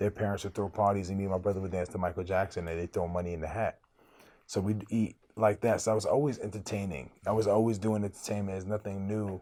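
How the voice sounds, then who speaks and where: Speaking at a very fast pace with a New York accent, this voice has a dark, mellow tone and fairly even intonation on a very clean recording with a silent background. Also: man, fairly low pitch for a man. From Brooklyn, New York (from age 10; earlier refugee childhood). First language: Arabic. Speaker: rapper. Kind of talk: interview. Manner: casual, conversational.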